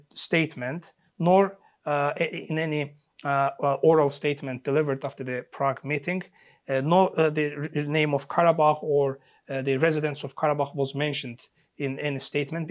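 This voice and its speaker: Pitch varies in an ordinary way as a man talks at a moderate pace. Little sound comes from the background, which is quiet. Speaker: interview guest, political commentator. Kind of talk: interview answer. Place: studio. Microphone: lapel.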